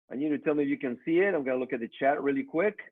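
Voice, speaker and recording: A man talks with a Mexican accent. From Mexico. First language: Spanish. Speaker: network marketing trainer. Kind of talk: motivational business training.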